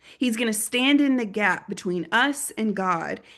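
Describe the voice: Someone does plain reading aloud.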